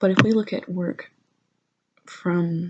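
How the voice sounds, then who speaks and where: Soft-spoken and with vocal fry, the voice moves at a very slow pace. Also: woman. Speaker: university student working on an art history paper. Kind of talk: casual talk to camera, rambling school notes. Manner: soft-spoken, lo-fi.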